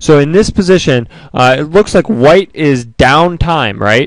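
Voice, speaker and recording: An excited, enthusiastic man with a fairly high pitch and lively intonation, in a dry, close sound with no echo. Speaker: chess shoutcaster / commentator. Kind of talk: live sports-style chess commentary. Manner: excited, enthusiastic, conversational.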